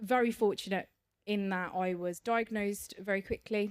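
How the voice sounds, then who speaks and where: The recording is very clean, and the background is silent. A woman talks at a medium pitch, her pitch varying in an ordinary way. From English Midlands. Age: 40s. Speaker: cancer survivor and charity trustee. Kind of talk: podcast interview. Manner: hesitant, frequent fillers and repetitions.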